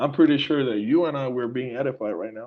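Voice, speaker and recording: A man speaks at medium pitch in a Puerto Rican accent. His pace is moderate. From Puerto Rico. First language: Spanish. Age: 40s. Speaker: musician. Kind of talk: casual chat. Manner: animated.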